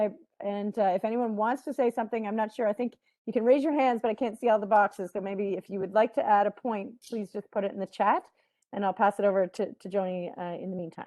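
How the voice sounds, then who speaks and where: The background is quiet as a woman talks at a very fast pace. Her fairly high voice sounds dry and close, with no echo. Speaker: panel moderator. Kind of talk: panel discussion.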